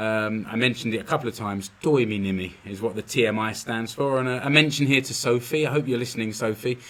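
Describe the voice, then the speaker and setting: Here a man talks with a London accent. His pitch varies in an ordinary way. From London, England. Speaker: podcast host, business consultant. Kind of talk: solo podcast monologue. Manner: casual, with fillers and repetitions.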